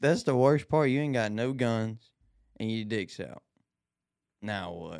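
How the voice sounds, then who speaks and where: Recorded very cleanly against a silent background, a man with a medium-pitched voice speaks at a fairly slow pace with lively intonation and long, frequent pauses. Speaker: gun tester for online videos. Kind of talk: casual chat. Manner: loud.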